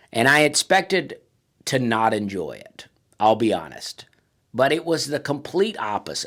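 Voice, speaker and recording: Someone with a Southern US accent speaks at a moderate pace on a very clean recording with a silent background. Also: man. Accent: Southern American. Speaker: stand-up comedian. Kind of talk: casual talk to camera, comedic monologue. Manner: laid-back, humorous, conversational.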